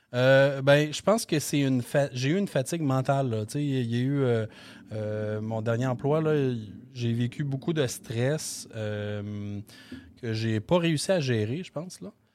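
Speaking at a very slow pace, a man uses a medium pitch. His pitch variation is ordinary. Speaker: real estate investor. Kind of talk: interview. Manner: halting, many fillers.

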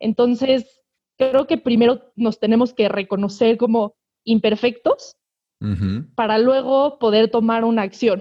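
A woman with a plain, everyday voice speaks fairly slowly at a fairly high pitch, her intonation fairly even and her loudness very even. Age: 20s. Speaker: environmental activist, chemical engineering student. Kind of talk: casual interview.

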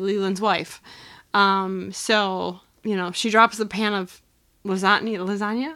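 Loud and bright, sharp in tone, a woman speaks at medium pitch and a moderate pace in a very clean recording with a silent background. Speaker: podcast co-host. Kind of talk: casual chat.

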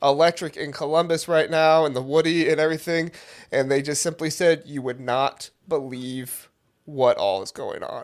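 Moving at a moderate pace, a man with a fairly high pitch and an ordinary speaking voice keeps a fairly even intonation while his loudness swings widely, on a very clean recording with a silent background. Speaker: podcast co-host.

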